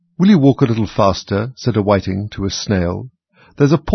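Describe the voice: The speaker gives a plain reading aloud against a quiet background.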